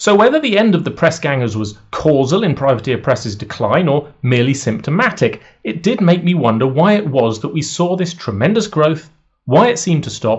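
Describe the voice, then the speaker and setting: A man with a British accent, at a fairly high pitch with very wide pitch swings and a moderate pace. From United Kingdom. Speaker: wargaming commentator, YouTuber. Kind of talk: scripted video essay.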